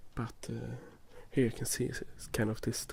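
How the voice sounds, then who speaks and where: A man speaks with a Swedish accent. He is soft-spoken. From Sweden. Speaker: ASMR youtuber. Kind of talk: gameplay commentary. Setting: recorded binaural, ear to ear. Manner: halting.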